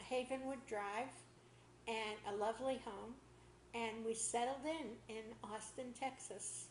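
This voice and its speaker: Speaking in a Boston accent at a very slow pace, a woman with a fairly high pitch holds a monotone, flat intonation amid audible room echo and noticeable background noise. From Boston area, Massachusetts. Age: 80s+. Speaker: interviewee telling life story. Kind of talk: oral history interview.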